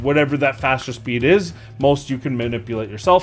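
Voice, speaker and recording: A man speaks fairly quickly while faint background music plays. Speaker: gaming content creator. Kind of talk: commentary.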